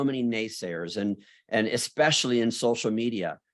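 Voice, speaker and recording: On a very clean recording with a silent background, a man of medium pitch with an unremarkable speaking voice talks at a moderate pace with ordinary pitch variation. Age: 60s. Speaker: beauty school business leader and speaker. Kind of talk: interview conversation.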